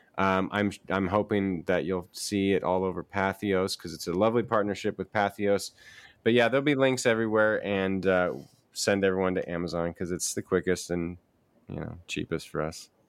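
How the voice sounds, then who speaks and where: A man with a plain, everyday voice, fairly low in pitch, at a moderate pace with ordinary pitch variation, on a very clean recording with a silent background. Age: 40s. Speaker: book publisher. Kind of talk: panel discussion.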